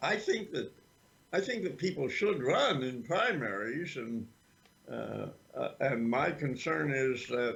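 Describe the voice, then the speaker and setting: Lively intonation at a very slow pace. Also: man. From Vermont. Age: 80s+. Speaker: political activist. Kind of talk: interview. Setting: livestream interview. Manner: halting.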